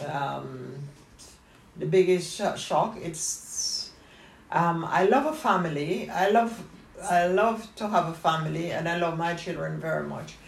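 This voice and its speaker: A woman talks fairly slowly at a fairly low pitch with ordinary pitch variation. There is noticeable background noise. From Jamaica. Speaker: retired dressmaker, family elder. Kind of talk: family interview, life story.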